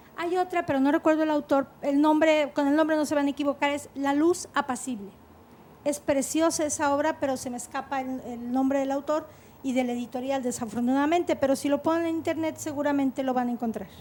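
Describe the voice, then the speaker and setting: High-pitched female speech, its intonation fairly even. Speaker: teacher. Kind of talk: talk show discussion. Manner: fast.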